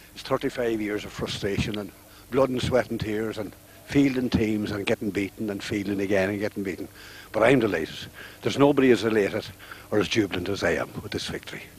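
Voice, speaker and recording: A man talks at a very fast pace in a Donegal accent. His pitch is fairly low and his intonation fairly even. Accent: Donegal Irish. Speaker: club veteran. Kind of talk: post-match interview.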